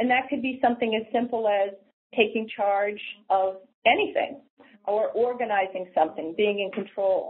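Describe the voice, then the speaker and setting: Here a woman with an American accent and a plain, everyday voice speaks at a moderate pace with a fairly high pitch and ordinary pitch variation. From New Hampshire, US. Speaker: senior services nonprofit leader. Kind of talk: interview.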